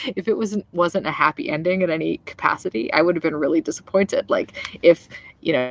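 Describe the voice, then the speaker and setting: A woman speaks quietly at a fairly quick pace, the sound dry and close with no echo. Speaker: vlogger. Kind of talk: casual vlog review. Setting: outdoors in backyard at night. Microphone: laptop.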